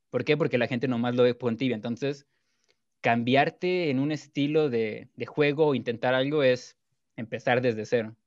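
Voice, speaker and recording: Over a quiet background, a man with a normal speaking voice talks at a moderate pace, his pitch medium and his intonation fairly even. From Mexico, Culiacán, Sinaloa. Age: 20s. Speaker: gaming streamer. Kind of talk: casual chat.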